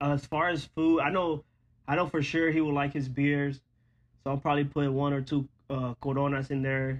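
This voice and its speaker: A fairly high-pitched male voice at a moderate pace, flat and monotone in intonation. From Monterrey, Nuevo León, Mexico. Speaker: podcast co-host, aspiring sports journalist. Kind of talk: casual chat. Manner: bilingual code-switching.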